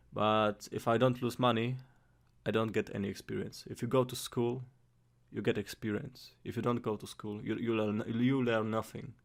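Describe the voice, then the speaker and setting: In a Polish accent, a man talks at medium pitch with monotone, flat intonation. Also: moderate pace. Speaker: amateur investor vlogger. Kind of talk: casual vlog. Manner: halting, frequent repetitions and fillers; careful, trying to speak clearly.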